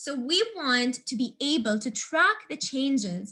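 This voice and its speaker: A woman's high-pitched voice with a bright, sharp tone. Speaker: coding instructor. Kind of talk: tutorial.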